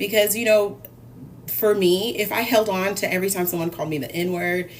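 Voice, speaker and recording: In an animated tone, a woman speaks at a fairly quick pace with medium pitch and ordinary pitch variation. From US South. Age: 40s. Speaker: cooking show host. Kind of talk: casual chat on a live cooking stream.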